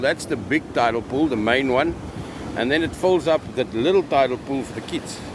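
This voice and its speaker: With a South African accent, a man speaks at a moderate pace and a medium pitch. His intonation is lively, over noticeable background noise. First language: Afrikaans. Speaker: live streamer. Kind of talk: live stream commentary. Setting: outdoors at the beach. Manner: casual.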